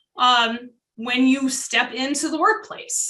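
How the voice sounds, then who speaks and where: A woman's raised, projected voice, high, bright and sharp, with lively intonation at a fairly slow pace and audible room echo. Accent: American. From US Northeast. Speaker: food defense consultant. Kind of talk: webinar presentation. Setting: online webinar.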